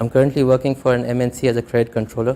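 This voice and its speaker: The speech moves at a very fast pace. The tone is dark and mellow. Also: man. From Dubai, UAE (Pakistani family). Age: 30s. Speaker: student giving testimony. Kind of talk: personal testimony speech. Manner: formal.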